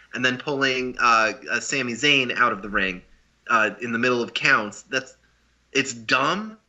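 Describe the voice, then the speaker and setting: This man has a normal speaking voice at medium pitch. He talks at a fairly slow pace. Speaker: podcast co-host. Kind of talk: casual wrestling podcast discussion.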